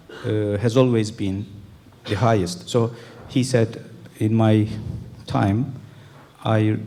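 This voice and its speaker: At a fairly slow pace, a man speaks in a Turkish accent. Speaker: calligrapher. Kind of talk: talk to an audience. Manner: halting.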